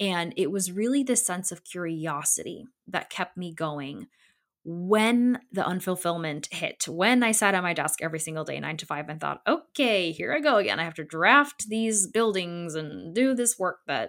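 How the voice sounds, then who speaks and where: Warm and enthusiastic, the voice has lively intonation at a moderate pace. The recording is very clean, with a silent background. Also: woman, medium pitch for a woman. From Connecticut, US, Polish immigrant family. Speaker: podcast host, designer. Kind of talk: solo monologue, personal storytelling. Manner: warm, enthusiastic; casual with fillers.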